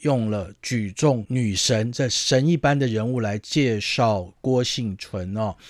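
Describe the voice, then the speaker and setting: A medium-pitched man speaks very slowly, with hardly any pauses and ordinary pitch variation. The recording is very clean, with a silent background. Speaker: sports radio host. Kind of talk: casual chat.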